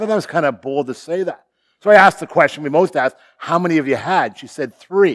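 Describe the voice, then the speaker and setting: A man with a Canadian accent talks at a very fast pace in a high pitch. His pitch varies in an ordinary way, but his loudness swings widely. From Ontario, Canada (Sarnia). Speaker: guest pastor. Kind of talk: sermon. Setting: church. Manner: laid back.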